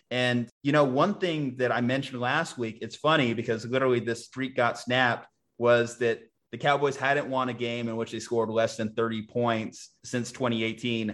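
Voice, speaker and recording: The pace is moderate and the intonation fairly even, delivered in a normal speaking voice. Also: man, medium pitch for a man. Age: 20s. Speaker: sports podcast host. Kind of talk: casual chat.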